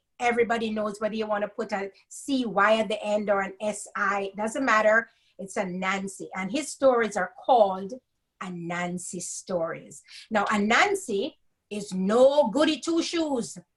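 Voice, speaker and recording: A woman with a Jamaican accent speaks at a fairly slow pace, somewhat breathy, with a fairly high pitch and ordinary pitch variation. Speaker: storyteller. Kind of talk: reading aloud.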